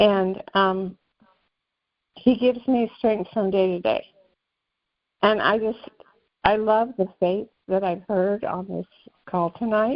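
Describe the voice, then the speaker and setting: Speaking very slowly with long, frequent pauses, a woman has an American accent. Her pitch is medium and her intonation fairly even. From Massachusetts. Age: 70s. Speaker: caller. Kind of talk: testimony. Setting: phone call.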